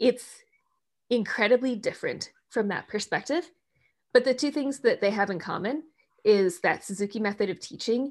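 With an American accent, a woman speaks at a fairly high pitch and a moderate pace, her tone animated and her intonation lively, on a very clean recording with a silent background. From US Midwest, Minnesota. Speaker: tech company director. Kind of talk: interview chat.

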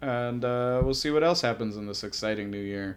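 A man talks at a fairly quick pace in a normal speaking voice. His pitch is medium, with ordinary pitch variation. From New Orleans then Ohio. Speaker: co-host friend, comics novice. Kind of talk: casual chat.

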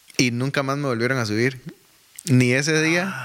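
With a fairly high pitch and a moderate pace, a man talks as noticeable background noise continues. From Costa Rica, Desamparados. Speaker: church administrator and music minister. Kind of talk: casual interview.

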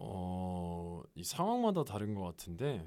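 Very wide pitch swings in a man's dark, mellow tone. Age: 20s. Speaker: salesperson. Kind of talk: casual chat. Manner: formal.

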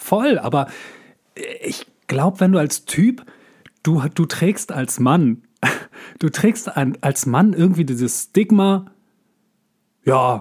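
A man with lively intonation. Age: 40s. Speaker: actor and voice actor, podcast co-host. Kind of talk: casual chat. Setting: remote recording.

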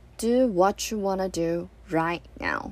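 A woman speaks with a Chinese accent. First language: Mandarin Chinese. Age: 20s. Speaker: podcaster. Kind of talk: personal monologue.

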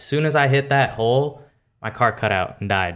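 In a very clean recording with a silent background, a man uses a plain, everyday voice with fairly even intonation. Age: 20s. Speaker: car enthusiast. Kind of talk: casual chat.

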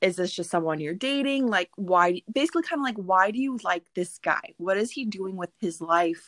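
The sound is dry and close with no echo. A woman speaks at a medium pitch and moderate pace with lively intonation. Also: hardly any pauses. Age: 20s. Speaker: podcast guest, young mother. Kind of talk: casual chat. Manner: outspoken.

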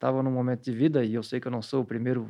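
A man at medium pitch speaks at a very fast pace. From Santa Catarina, southern Brazil (Blumenau). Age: 40s. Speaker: psychology professor. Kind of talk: interview monologue.

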